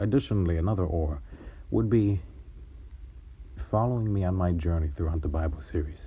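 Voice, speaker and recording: A man with a very deep, low, somewhat breathy voice talks at a fairly quick pace with lively intonation and long, frequent pauses, and audible room echo surrounds him. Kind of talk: gameplay commentary with religious reflection. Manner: shaky.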